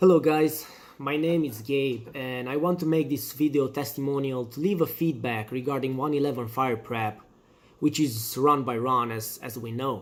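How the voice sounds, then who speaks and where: With a non-native accent, a man of medium pitch speaks at a moderate pace and ordinary pitch variation. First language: not English. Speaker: firefighter candidate. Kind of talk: testimony.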